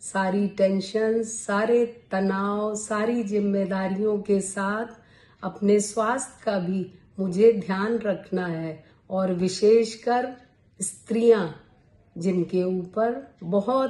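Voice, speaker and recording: This woman has an ordinary speaking voice at a medium pitch. Her intonation stays fairly even. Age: 60s. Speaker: YouTuber, poet. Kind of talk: talk to camera, health advice. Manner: formal.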